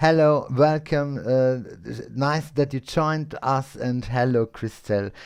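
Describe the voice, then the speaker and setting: Speaking slowly with fairly even intonation, a man with a German accent and a fairly high pitch is heard against a quiet background. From Austria. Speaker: English learner, live stream host. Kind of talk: casual chat. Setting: live stream with Zoom guest. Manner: halting.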